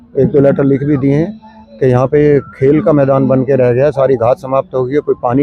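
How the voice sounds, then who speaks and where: Noticeable background noise is present throughout. The delivery keeps a moderate pace and fairly even intonation. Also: man. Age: 70s. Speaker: yoga practitioner, local resident. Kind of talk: street interview. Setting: outdoors in a park.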